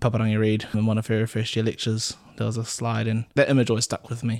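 A man's very fast speech at a medium pitch, on a very clean recording with a silent background. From New Zealand, Auckland. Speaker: paediatric doctor. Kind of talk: casual chat.

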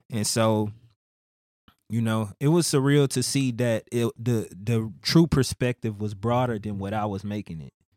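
A man's medium-pitched voice with a Houston accent, fairly slow pace and ordinary pitch variation. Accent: Houston Southern US. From Missouri City, Houston area, Texas. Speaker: rapper. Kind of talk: casual interview.

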